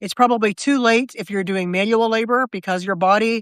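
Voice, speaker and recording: In an American accent, an unremarkable speaking voice moves at a fairly quick pace with ordinary pitch variation and a dry, close sound with no echo. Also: woman. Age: 60s. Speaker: writer and live video host. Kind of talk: casual live video chat. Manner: conversational with frequent fillers and restarts.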